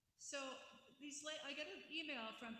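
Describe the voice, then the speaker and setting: A loud woman's voice rings out with audible echo from the room. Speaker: daughter of honoree, guest speaker. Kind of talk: ceremony speech. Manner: casual, halting.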